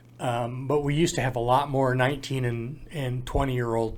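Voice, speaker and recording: A man with a Midwestern US accent speaks at a medium pitch and a moderate pace. Audible room echo surrounds his voice. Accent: US Midwest. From Iowa. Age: 70s. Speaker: parenting program volunteer. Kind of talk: interview. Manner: halting.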